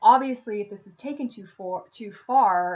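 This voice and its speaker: At a moderate pace, the voice comes across somewhat breathy. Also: woman. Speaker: philosophy video creator. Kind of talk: video monologue on philosophy. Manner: many filler words and restarts.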